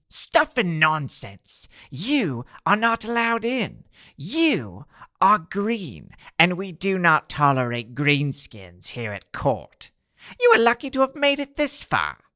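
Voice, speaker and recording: A cartoonish character voice at a middle pitch speaks at a fairly slow pace, recorded very cleanly against a silent background. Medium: puppet. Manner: blustering, then stammering.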